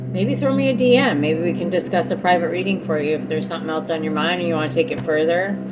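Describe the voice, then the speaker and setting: A woman races along at a very fast pace with hardly any pauses, her voice carrying audible room echo amid noticeable background noise. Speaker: tarot reader. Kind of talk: casual monologue to viewers.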